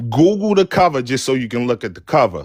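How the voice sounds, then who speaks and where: The sound is dry and close with no echo. A man talks in a medium pitch. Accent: Baltimore. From West Baltimore, Maryland. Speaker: caller on live talk stream. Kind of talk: casual chat.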